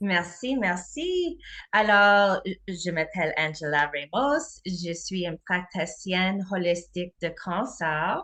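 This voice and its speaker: A woman with a non-native accent and a bright, sharp tone, at a very slow pace against a quiet background. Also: medium pitch for a woman, ordinary pitch variation. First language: not French (speaking French). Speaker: holistic health practitioner. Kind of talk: presentation.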